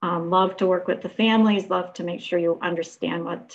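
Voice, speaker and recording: Fairly low-pitched female voice with vocal fry, a fairly quick pace and fairly even intonation. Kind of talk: self-introduction in a webinar. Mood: warm, friendly. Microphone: video call.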